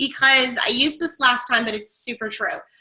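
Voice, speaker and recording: In a raised, projected voice, a woman speaks at a high pitch with a bright, sharp tone. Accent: American. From Florida, Tampa. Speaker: online marketing coach. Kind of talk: webinar training.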